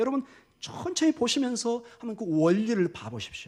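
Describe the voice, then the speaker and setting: Talking at a fairly quick pace, a man speaks with an extremely high pitch. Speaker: pastor. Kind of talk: sermon.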